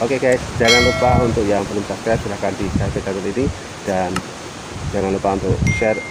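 A man is speaking over loud background noise. The sound is dry with no echo. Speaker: vlogger. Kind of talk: casual vlog chat. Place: cafe. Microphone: phone near.

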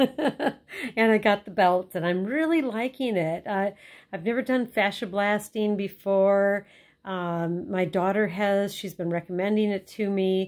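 At a fairly slow pace, a woman talks with ordinary pitch variation over a quiet background. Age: 60s. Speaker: customer giving product testimonial. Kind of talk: customer testimonial to camera. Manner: casual, hesitant. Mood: cheerful, smiling. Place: home room. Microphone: phone near.

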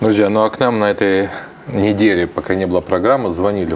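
A man speaking at a fairly quick pace over light background noise. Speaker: TV prayer program co-host. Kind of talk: live religious broadcast, reading prayer requests. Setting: TV studio, live broadcast. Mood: warm, calm. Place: studio.

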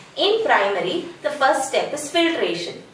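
A woman is heard with light background noise and audible room echo. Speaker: teacher trainer. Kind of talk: tutorial. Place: home room. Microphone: camera far.

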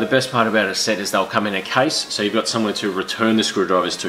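Very fast speech with fairly even intonation over light background noise. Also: man. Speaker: tool show host. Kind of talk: tutorial. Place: garage.

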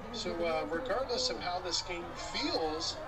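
A man talks with crowd noise in the background. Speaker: game commentator. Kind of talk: sports play-by-play commentary. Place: stadium.

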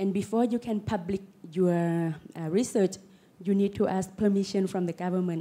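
Delivered at a moderate pace, the voice has a dark, mellow tone and fairly even intonation. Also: woman. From Laos. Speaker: panelist. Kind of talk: panel discussion. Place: hall. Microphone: handheld.

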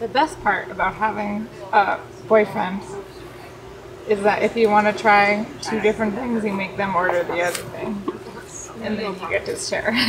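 Noticeable background noise sits behind a woman speaking at a moderate pace. Her intonation is fairly even, and she takes long, frequent pauses. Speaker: vlogger. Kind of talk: casual vlog chat. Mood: playful, amused. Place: garden. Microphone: phone near.

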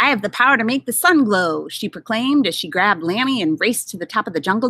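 The intonation stays lively as the text is read aloud in a natural voice.

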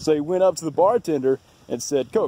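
At a moderate pace, a man speaks with lively intonation, the sound dry with no echo. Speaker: video tour host. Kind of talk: casual tour narration. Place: open country. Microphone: phone near.

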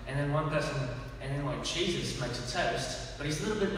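A man's voice comes through strong room echo over light background noise. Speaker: comedian. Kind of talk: stand-up comedy. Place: church. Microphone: camera far.

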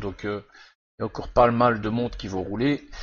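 A man speaks with fairly even intonation. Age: 50s. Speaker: sim racing gamer. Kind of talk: gameplay commentary. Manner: hesitant, many fillers.

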